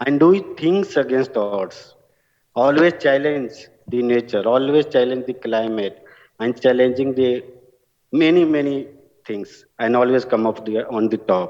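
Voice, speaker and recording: Speaking with a strong Bihari accent, a man keeps a medium pitch and ordinary pitch variation at a fairly slow pace. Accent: heavy Bihari Indian English. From India, Bihar (village). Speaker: award-winning alumnus, farmer-focused entrepreneur. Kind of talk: award acceptance speech.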